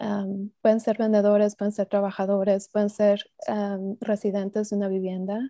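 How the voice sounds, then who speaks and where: Over a quiet background, a woman speaks at a moderate pace and medium pitch in a dark, mellow tone, her intonation monotone and flat, the sound dry with no echo. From Mexico (Estado de México), moved to US at 15. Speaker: cooperative development specialist; presenter. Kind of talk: online seminar presentation. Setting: video call. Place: home room. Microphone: earbuds.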